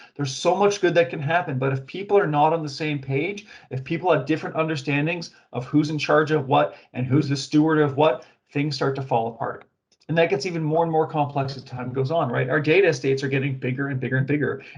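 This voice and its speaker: Very fast speech from a man with a fairly high, somewhat breathy voice and fairly even intonation. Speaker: webinar presenter on data governance. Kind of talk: webinar presentation.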